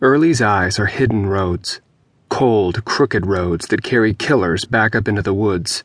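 In a normal speaking voice, a man talks at a fairly slow pace with fairly low pitch. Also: ordinary pitch variation. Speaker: audiobook narrator. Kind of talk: dramatic audiobook narration of dark, grotesque fiction.

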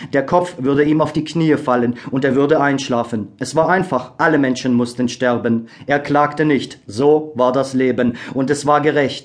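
With a normal speaking voice, a man talks with fairly even intonation at a fairly high pitch. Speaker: audiobook narrator. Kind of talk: scripted audiobook narration, solemn and dramatic. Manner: slow, hushed, gravely expressive; measured, melancholic, with pauses for suspense.

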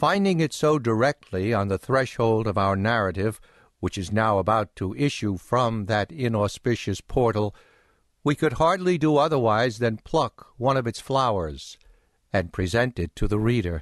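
Against a quiet background, a man with an ordinary speaking voice talks at a medium pitch with lively intonation. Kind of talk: audiobook narration, reading aloud a 19th-century novel. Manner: measured, formal, unhurried literary delivery.

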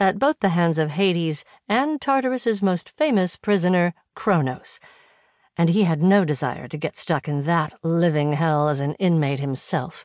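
A woman's fairly low voice in a dramatic tone at a moderate pace, against a quiet background. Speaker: audiobook narrator. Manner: dramatic, suspenseful, steady pace building tension, with a darker tone for action scenes; expressive, polished, clearly enunciated.

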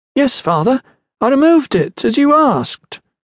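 Using a put-on character voice, a man speaks at an extremely high pitch and a moderate pace. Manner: sullen.

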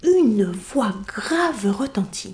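Against noticeable background noise, a woman speaks in an animated, theatrical tone with very wide pitch swings. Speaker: audiobook narrator. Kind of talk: dramatic storytelling narration of a children's tale, audiobook reading.

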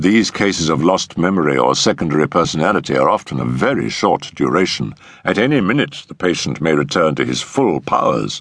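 A put-on character voice with a slightly husky edge, big pitch swings, a fairly bright tone, a fairly quick pace and few pauses. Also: man, extremely low pitch for a man.

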